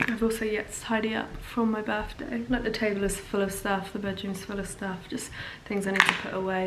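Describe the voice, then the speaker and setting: A woman talks at a fairly quick pace with medium pitch and ordinary pitch variation. There is noticeable background noise and audible room echo. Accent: English. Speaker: actor and vlogger. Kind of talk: casual vlog. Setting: outdoors.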